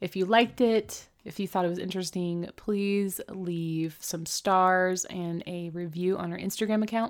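In a very clean recording with a silent background, a woman with an ordinary speaking voice and medium pitch talks at a moderate pace. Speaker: podcast co-host. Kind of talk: casual chat. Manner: laughs often, chatty.

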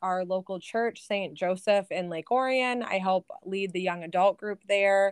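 A woman with an American accent has a normal speaking voice, medium in pitch and ordinary in pitch variation. The sound is dry and close, with no echo. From Michigan, outer Metro Detroit. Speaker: business analyst. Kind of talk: casual interview.

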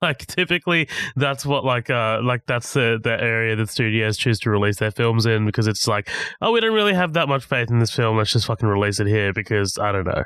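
In a plain, everyday voice, a man at a medium pitch talks at a fairly quick pace, the sound dry and close with no echo over a quiet background. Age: 20s. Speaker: film podcast guest. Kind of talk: casual chat.

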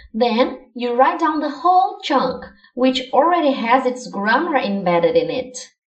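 A woman's high voice, full of lively intonation, moves at a fairly slow pace with audible room echo. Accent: Portuguese. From Brazil. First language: Portuguese. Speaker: language learning podcaster. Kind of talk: scripted educational monologue.

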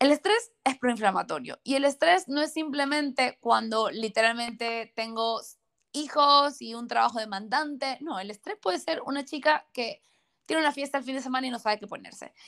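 Lively intonation and big swings in loudness mark this moderate-paced delivery. The recording is very clean, with a silent background. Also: woman, high pitch for a woman. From Ecuador. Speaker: nutrition and hormonal health professional. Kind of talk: interview, health explanation.

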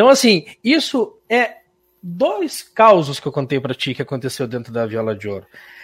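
Recorded very cleanly against a silent background, a man speaks at a moderate pace in a fairly high pitch, with very wide pitch swings and big swings in loudness. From Santa Catarina, Brazil (Irani). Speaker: musician and radio host. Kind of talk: interview.

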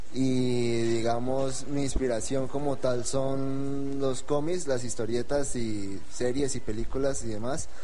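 Against noticeable background noise, a man talks at a very slow pace with hardly any pauses, a medium pitch, fairly even intonation, and very even loudness. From Colombia, Espinal, Tolima. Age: 20s. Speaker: novelist. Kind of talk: radio interview.

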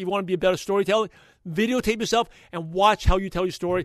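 A man speaks in a passionate tone at a high pitch, his intonation fairly even.

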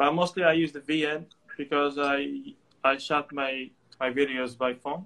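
With a Moroccan accent, a man with a fairly high pitch and a bright, sharp tone talks at a fairly slow pace with fairly even intonation. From Morocco, Tangier. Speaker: photographer and student. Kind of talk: casual interview. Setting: remote call. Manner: halting, with many fillers.

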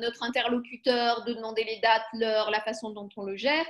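A woman with a high-pitched voice. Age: 40s. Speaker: computational linguist. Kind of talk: panel discussion.

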